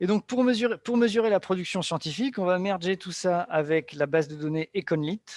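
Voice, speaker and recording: A high-pitched male voice with ordinary pitch variation, dry and close with no echo, on a very clean recording with a silent background. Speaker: economics researcher presenting a paper. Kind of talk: academic seminar presentation. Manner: fast.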